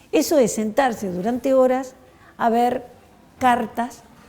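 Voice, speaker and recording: A woman speaks with a dark, mellow tone. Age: 60s. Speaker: historian. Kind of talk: talk to schoolchildren. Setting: school.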